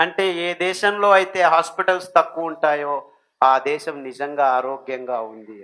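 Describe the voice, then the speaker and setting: A man's voice, pitched fairly high, has a bright, sharp tone. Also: ordinary pitch variation. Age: 60s. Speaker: millet diet advocate. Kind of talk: public speech on health and diet.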